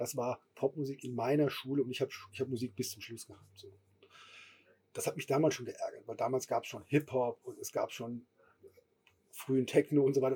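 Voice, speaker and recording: A man's medium-pitched, dark and mellow voice, somewhat breathy and flat in intonation, at a fairly quick pace. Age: middle-aged. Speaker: music festival co-founder. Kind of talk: casual chat. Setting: festival stage.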